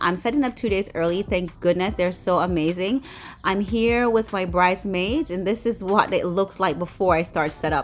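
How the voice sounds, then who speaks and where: Faint music plays in the background while the speaker talks at a fairly quick pace. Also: woman. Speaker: bride and lifestyle vlogger. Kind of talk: casual video walkthrough; casual vlog chat. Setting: event venue. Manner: fast; halting, many fillers. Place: hall. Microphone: phone near.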